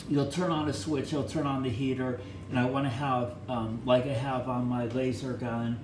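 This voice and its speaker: A medium-pitched male voice, fairly even in intonation and fairly slow, with audible room echo and noticeable background noise. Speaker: electronics hobbyist YouTuber. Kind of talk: casual hands-on teardown tutorial. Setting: bathroom. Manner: loud.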